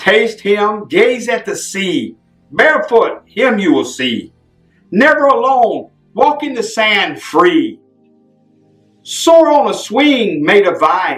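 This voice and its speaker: With music playing behind him, a man speaks very slowly at an extremely high pitch, his pitch swinging very widely. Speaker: street preacher and poet. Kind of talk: poetry reading.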